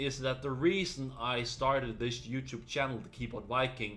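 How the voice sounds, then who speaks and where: Speaking with a Danish accent, a man talks at a moderate pace and a medium pitch. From Denmark. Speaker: gaming YouTuber. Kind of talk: casual vlog talk to camera. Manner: some hesitations and fillers.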